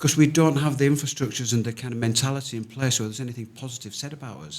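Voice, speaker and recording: At a very fast pace, a man speaks in a medium pitch with ordinary pitch variation and big swings in loudness. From northern England, Leeds. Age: 60s. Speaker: charity founder. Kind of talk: podcast interview. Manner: animated.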